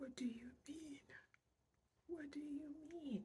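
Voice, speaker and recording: A woman whispers at a very slow pace, her voice somewhat breathy. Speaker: weight loss vlogger. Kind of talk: casual vlog. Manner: whispering.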